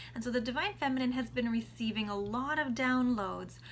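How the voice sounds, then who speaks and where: Her pitch fairly high, a woman talks at a moderate pace with fairly even intonation in a plain, everyday voice. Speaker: tarot card reader. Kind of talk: tarot reading monologue.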